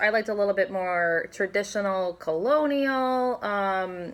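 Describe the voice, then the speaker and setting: A woman with an American accent and ordinary pitch variation, in a very clean recording with a silent background. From Ohio, Toledo. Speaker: healthcare provider, home buyer. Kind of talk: casual interview chat.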